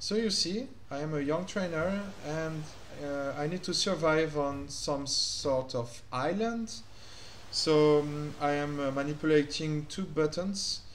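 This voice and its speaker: A man talks at a very slow pace, his pitch fairly high with ordinary variation. Noticeable background noise and audible room echo fill the recording. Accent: French. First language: French. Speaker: gaming youtuber. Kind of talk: gameplay commentary. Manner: hesitant, many fillers.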